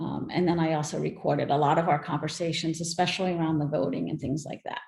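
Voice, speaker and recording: A woman's voice with vocal fry. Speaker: workshop presenter. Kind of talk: virtual workshop Q&A.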